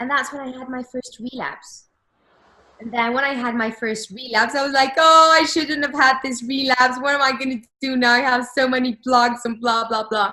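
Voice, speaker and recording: At a moderate pace, a woman projects a raised, high-pitched voice with fairly even intonation and big swings in loudness. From Mexico. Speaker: person who stutters. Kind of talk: interview answer.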